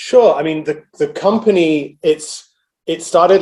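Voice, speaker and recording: Speaking rather slowly, a man talks in a British accent. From England, London. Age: 40s. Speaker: energy research analyst. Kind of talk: interview. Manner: hesitant, many fillers.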